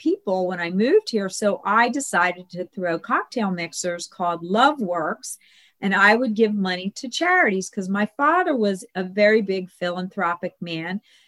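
Delivered at a moderate pace, an unremarkable speaking voice comes through with a dry, close sound with no echo. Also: woman. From US, Italian-American family. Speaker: matchmaker. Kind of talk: interview.

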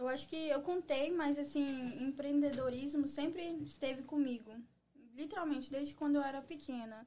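Here a woman speaks at a moderate pace with a high pitch. Her tone is dark and mellow. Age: 20s. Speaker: entrepreneur. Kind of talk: casual interview.

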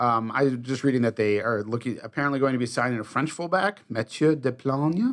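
In a normal speaking voice, a man talks at a medium pitch and a fairly quick pace with hardly any pauses. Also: ordinary pitch variation. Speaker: podcast host. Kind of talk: casual chat.

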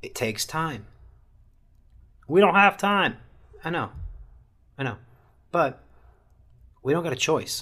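Here a man talks at a fairly slow pace with a high pitch and lively intonation. His loudness swings widely, and he leaves long, frequent pauses. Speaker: soccer podcast host. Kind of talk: casual solo podcast monologue. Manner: subdued.

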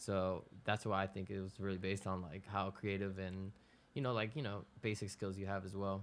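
A man speaks at a fairly low pitch and a moderate pace, in a monotone, flat delivery. The recording is very clean, with a silent background. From Ecuador, raised in West Palm Beach, Florida. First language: Spanish. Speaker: music producer. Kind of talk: casual interview.

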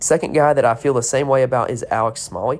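A plain, everyday voice from a man with an American accent, medium pitch, ordinary pitch variation and a fairly quick pace. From North Carolina. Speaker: sports betting podcaster. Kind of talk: solo podcast preview. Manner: casual, filler-heavy.

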